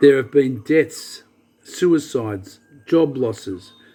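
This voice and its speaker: A man's fairly high voice with ordinary pitch variation, a normal speaking voice. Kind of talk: spoken-word soliloquy reading.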